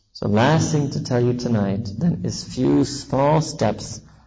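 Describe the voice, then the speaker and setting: Speaking with an American accent, a man uses a medium pitch and lively intonation at a fairly slow pace. Noticeable background noise runs behind him. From US, New York City. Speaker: Islamic preacher. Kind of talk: sermon. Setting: mosque gathering with audience, on a visit to South Africa.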